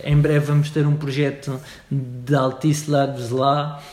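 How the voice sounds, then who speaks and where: A man's fairly high-pitched voice with noticeable background noise and audible room echo. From Madeira, Portugal. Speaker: startup organization CEO. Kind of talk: interview. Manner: halting, many fillers.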